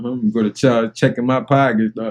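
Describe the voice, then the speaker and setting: A man at a moderate pace, dry and close with no echo, over noticeable background noise. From New Orleans, Louisiana. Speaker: reaction video creator. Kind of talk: reaction commentary. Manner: animated.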